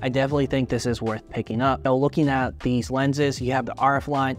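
Faint music plays in the background. A man speaks at a very fast pace. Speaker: camera reviewer. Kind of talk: review talk to camera. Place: home room.

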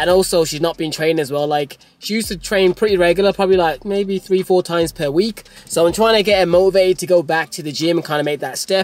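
A man talking at a very fast pace in a dry sound with no echo. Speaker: fitness vlogger. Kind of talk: casual vlog chat. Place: car.

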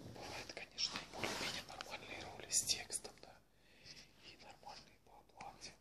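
A man is whispering at a moderate pace. His loudness swings widely. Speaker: extra and bit-part film actor who also works regular jobs. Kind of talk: casual talk to camera. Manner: whispered. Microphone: webcam.

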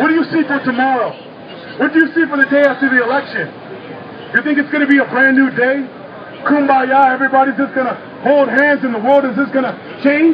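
Despite long, frequent pauses, a man speaks very fast in an extremely high, monotone voice with flat intonation over noticeable background noise. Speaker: street activist speaker. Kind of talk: impassioned protest speech to a crowd, angry rant. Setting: outdoors at a protest rally in a city. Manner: fiery, pounding, urgent, rising in anger; rallying, preacher-like, call-and-response cadence.

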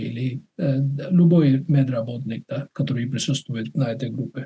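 A man with a non-native accent speaks at medium pitch in a dark, mellow, somewhat breathy tone with fairly even intonation. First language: not Russian (speaking Russian). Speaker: webinar moderator, doctor; webinar moderator. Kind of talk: casual chat. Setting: video call. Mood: calm, reflective. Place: home room. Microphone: webcam.

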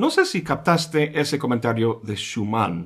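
A man talks at a moderate pace, his intonation lively, with a quiet background behind him. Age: 50s. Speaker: philosophy educator. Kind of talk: scripted narration. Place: home room.

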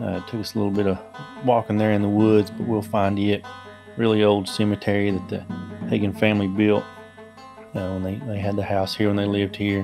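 Fairly quick speech over clear background music. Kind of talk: casual vlog narration. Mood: calm, curious. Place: forest.

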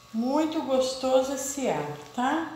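A woman is speaking amid light background noise. Audible room echo can be heard. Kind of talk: cooking tutorial chat. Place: kitchen. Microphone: camera far.

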